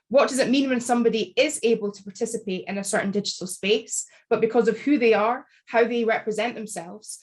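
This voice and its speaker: A woman talks with a Scottish accent at a fairly quick pace. Her pitch is fairly high, and her intonation is fairly even. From Scotland. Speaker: academic author. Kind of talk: book launch panel talk. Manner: measured, articulate.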